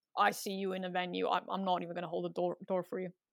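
Vocal fry marks a woman's fairly quick speech on a very clean recording with a silent background. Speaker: comedian and podcast host. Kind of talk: comedic interview. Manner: rambling, hesitant, self-deprecating.

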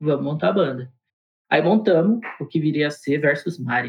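A man with an ordinary speaking voice, fairly high pitch and a fairly quick pace. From Diadema, São Paulo (ABC region), Brazil. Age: 30s. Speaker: rock band drummer. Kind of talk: casual interview chat.

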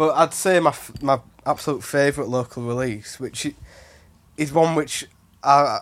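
A man with a normal speaking voice, moderate pace and fairly even intonation, on a very clean recording with a silent background. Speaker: music producer. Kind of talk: casual chat.

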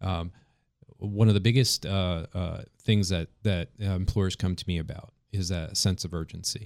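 Speaking at a moderate pace, a man with a very deep, low pitch uses fairly even intonation and an American accent. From New York. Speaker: culinary instructor. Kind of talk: casual radio interview. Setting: studio.

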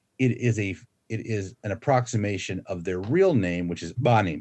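With an American accent and an unremarkable speaking voice, a man talks at a moderate pace with ordinary pitch variation. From US, Florida. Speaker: linguistics professor. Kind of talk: interview, casual chat.

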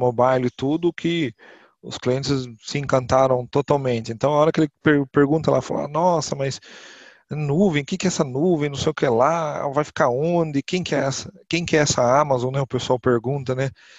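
A man with an unremarkable speaking voice talks at a moderate pace, his fairly high pitch held in fairly even intonation. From interior of São Paulo state, Brazil (Botucatu). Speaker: IT professional at a funeral assistance company. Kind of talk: podcast interview.

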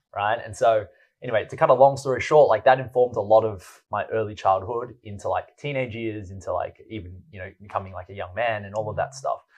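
With an Australian accent, a man speaks at a moderate pace and medium pitch against a quiet background. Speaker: entrepreneur and poet. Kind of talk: casual chat.

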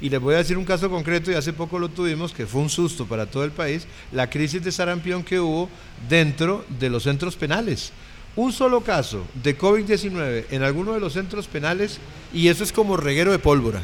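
High-pitched for a man, his speech carries lively intonation. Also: fairly quick pace. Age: 60s. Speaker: panelist, commentator. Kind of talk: panel discussion.

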